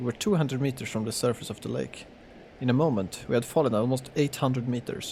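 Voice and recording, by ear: The speaker reads aloud in a natural voice with ordinary pitch variation.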